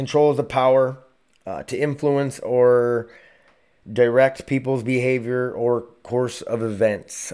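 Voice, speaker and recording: A man uses a robotic, put-on character voice at a medium pitch. He speaks at a fairly slow pace. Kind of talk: reading a definition aloud. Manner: flat, robotic reading.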